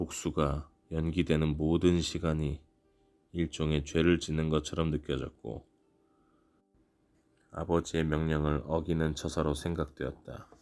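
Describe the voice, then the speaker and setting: Music plays in the background as the voice moves at a fairly slow pace. Its intonation is monotone and flat, with long, frequent pauses. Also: man, very deep, low pitch for a man. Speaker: audiobook reader. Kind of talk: audiobook narration for sleep. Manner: soothing, calm.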